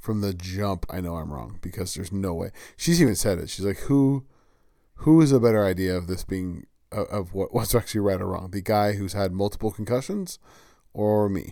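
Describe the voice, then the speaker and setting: The recording is very clean, with a silent background. A man with a dark, mellow tone and a fairly low pitch talks at a fairly quick pace with ordinary pitch variation. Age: 40s. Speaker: podcast host. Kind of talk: solo casual monologue. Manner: casual with many filler words.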